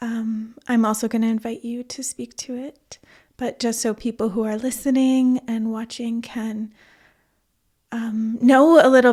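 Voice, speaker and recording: A woman speaks with a Canadian accent in a dark, mellow tone at a fairly high pitch. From Toronto, Canada. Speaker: podcast host. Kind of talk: reading a guest bio; interview conversation.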